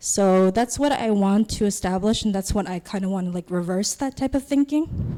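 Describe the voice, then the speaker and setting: Moderate-paced speech from a woman with a dark, mellow tone, medium pitch, ordinary pitch variation, and hardly any pauses. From Palau. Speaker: student intern. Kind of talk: presentation. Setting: assembly hall with audience. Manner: halting.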